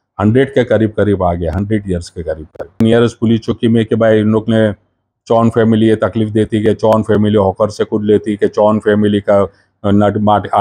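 At a moderate pace, a man speaks in a fairly low voice with monotone, flat intonation. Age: 60s. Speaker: convicted former defendant, now retired; interviewee. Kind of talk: news interview. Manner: halting. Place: home room. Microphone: handheld.

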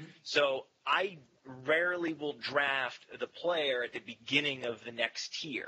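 With an American accent, a man speaks at a fairly slow pace in a fairly high pitch. His pitch variation is ordinary, while his loudness swings widely. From Maine, US. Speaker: fantasy football analyst, website owner; fantasy football analyst. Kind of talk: casual chat. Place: home room. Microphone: headset.

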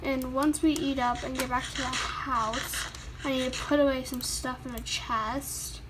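Noticeable background noise sits behind a woman talking at a very slow pace. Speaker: gaming YouTuber. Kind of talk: casual gameplay commentary. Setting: recorded gameplay voiceover. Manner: casual, filler-heavy, chatty.

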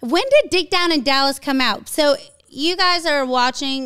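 A woman in a raised, projected voice speaks at a fairly slow pace with a bright, sharp, animated tone and lively intonation, against a quiet background. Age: 30s. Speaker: podcast host. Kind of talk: casual chat. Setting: studio. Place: studio. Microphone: studio mic.

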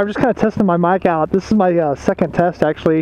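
Speech moves at a fairly quick pace, with noticeable background noise and a dry sound that has no echo. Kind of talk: casual vlog chat. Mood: relaxed, upbeat. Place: motorbike. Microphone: helmet.

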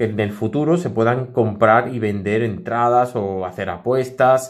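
Speaking at a medium pitch, a man talks with a Spanish accent. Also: quiet background. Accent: Spanish (Spain). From Spain. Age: 30s. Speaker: tech YouTuber. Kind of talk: casual vlog monologue. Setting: home studio. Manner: animated. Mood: earnest, reflective.

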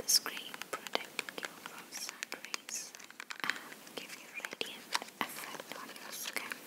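A woman whispers, her pace very slow. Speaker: ASMR creator. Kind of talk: ASMR personal attention roleplay. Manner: soft-spoken. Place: home room. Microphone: phone near.

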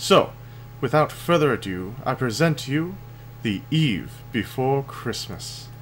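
A man at medium pitch, somewhat breathy, at a fairly slow pace with ordinary pitch variation. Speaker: storyteller and gaming video host. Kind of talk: bedtime story reading, a Christmas poem read aloud in a sing-song storybook cadence. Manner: warm, playful and animated, with a rhythmic storyteller lilt; friendly and casual when addressing the audience.

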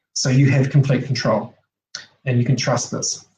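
This man's voice is somewhat breathy, heard with light background noise and audible room echo. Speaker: presenter. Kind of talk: online slide presentation. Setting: video call. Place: home room. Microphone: webcam.

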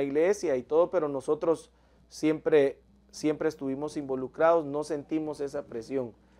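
The man's voice is fairly high-pitched with a dark, mellow tone and ordinary pitch variation. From Guatemala. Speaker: pastor and worship singer; pastor. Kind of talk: religious interview. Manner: halting, hesitant. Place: studio.

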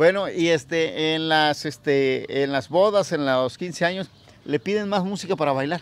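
An unremarkable speaking voice from a man, fairly high in pitch, at a fairly slow pace with ordinary pitch variation and a dry sound with no echo. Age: 40s. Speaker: music interviewer, vlogger. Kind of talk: casual interview. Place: garden.

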